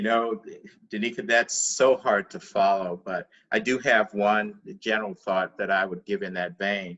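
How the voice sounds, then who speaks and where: A man with a normal speaking voice and fairly low pitch talks at a moderate pace with fairly even intonation. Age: 60s. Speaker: life coach. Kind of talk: spiritual talk show discussion.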